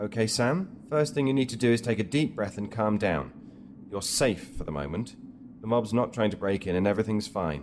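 A man with an ordinary speaking voice and a fairly low pitch talks at a fairly quick pace with lively intonation. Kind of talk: dramatic audio drama dialogue.

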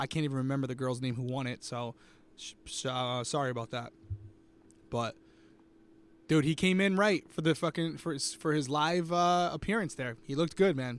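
On a very clean recording with a silent background, a man speaks at a fairly high pitch with ordinary pitch variation. His pace is moderate, with long, frequent pauses. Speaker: reality TV podcast host. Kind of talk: casual live-stream recap chat.

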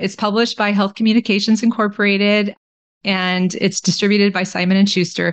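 Against a quiet background, a woman with an American accent speaks at a medium pitch and a fairly quick pace in a monotone, flat intonation. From Texas (Austin). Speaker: family physician and author. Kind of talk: interview.

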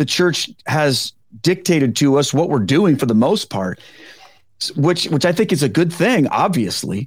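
A man with vocal fry speaks in an animated tone, his pitch swinging very widely. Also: very clean recording, silent background. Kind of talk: casual podcast interview. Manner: animated, humorous.

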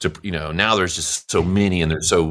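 Speaking at a moderate pace with a Louisiana accent, a man has a very deep, low pitch, a bright, sharp tone and a fairly even intonation. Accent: Louisiana Southern US. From US South, Louisiana (Monroe). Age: 50s. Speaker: musician. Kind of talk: casual chat.

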